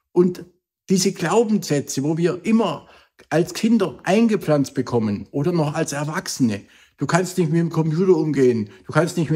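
Over a quiet background, a man speaks at a fairly slow pace in a dark, mellow tone with lively intonation. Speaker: motivational speaker. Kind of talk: motivational vlog talk. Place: home room.

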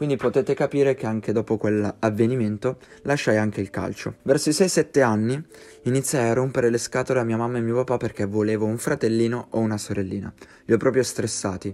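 With a dark, mellow tone, a man speaks fairly quickly at medium pitch, his pitch varying in an ordinary way. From Piedmont, northern Italy (Verbania). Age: 20s. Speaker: YouTuber. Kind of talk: personal life story narration.

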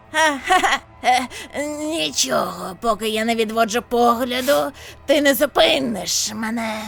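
Using a put-on character voice, a woman speaks at a moderate pace and a fairly high pitch, with very wide pitch swings and long, frequent pauses. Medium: fan dub. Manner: gloating then losing composure.

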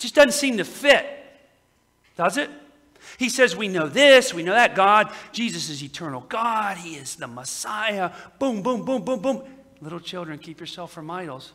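A man with a high pitch uses a raised, projected voice, moving at a moderate pace with very wide pitch swings and big swings in loudness. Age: 30s. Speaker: pastor. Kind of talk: sermon. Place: church.

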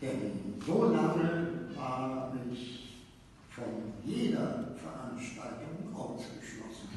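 A man speaks in a room with strong echo, and there is noticeable background noise. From Berlin. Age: 80s+. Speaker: actor. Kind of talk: speech to a live reading audience. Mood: warm, lightly humorous. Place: hall. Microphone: camera far.

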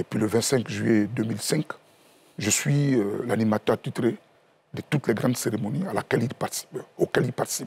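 A man's voice at a moderate pace, with ordinary pitch variation and long, frequent pauses. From Côte d'Ivoire. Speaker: party official; guest. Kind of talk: TV panel discussion. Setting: TV studio. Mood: solemn, mournful remembrance. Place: studio. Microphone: lapel.

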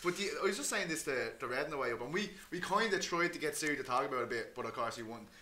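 A man with an Irish accent talks very fast in a fairly high voice, with lively intonation, hardly any pauses and light background noise. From Ireland. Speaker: MMA podcast host. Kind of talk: casual chat. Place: home room.

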